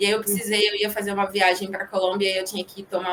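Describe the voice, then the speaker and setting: This woman speaks with a Rio de Janeiro accent. Her pitch is medium and her pace very fast. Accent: Rio de Janeiro (carioca). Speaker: corporate professional. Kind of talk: casual interview.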